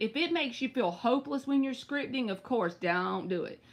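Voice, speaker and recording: With a Southern US accent, a woman speaks in a high, animated voice that makes very wide pitch swings. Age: 30s. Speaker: tarot reader. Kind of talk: live stream tarot reading.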